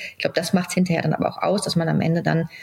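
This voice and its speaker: Noticeable background noise surrounds a woman's voice. She has a fairly low pitch and monotone, flat intonation. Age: 40s. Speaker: CEO of a family pet-products company. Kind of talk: interview. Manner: hesitant, many filler sounds.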